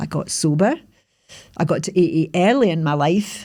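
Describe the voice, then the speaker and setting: The woman keeps a moderate pace in a very clean recording with a silent background. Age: 60s. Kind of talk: personal podcast monologue. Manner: hesitant, conversational.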